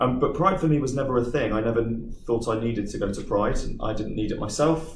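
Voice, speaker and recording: Over audible room echo, a man with a medium pitch and vocal fry talks at a fairly quick pace. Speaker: business manager speaking to a school group. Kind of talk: talk with Q&A to pupils.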